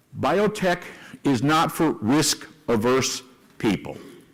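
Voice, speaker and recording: This man speaks with an American accent. His pace is very slow. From US West, East Los Angeles. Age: 70s. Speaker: investment banker and company executive. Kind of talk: conference talk. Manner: animated.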